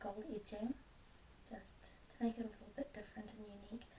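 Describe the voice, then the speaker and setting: The voice is soft-spoken. Its intonation is monotone and flat. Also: woman. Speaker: ASMR creator. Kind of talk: ASMR show and tell.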